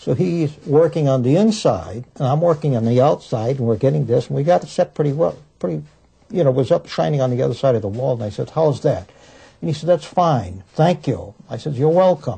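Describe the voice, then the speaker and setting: Somewhat breathy and dark, mellow in tone, a man speaks at a fairly high pitch with very wide pitch swings and a fairly quick pace. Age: 60s. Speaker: war veteran, former prison guard. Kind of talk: interview storytelling.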